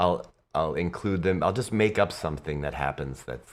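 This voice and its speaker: A man with vocal fry speaks at a moderate pace with ordinary pitch variation in a very clean recording with a silent background. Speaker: tabletop game master and musician. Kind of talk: casual interview.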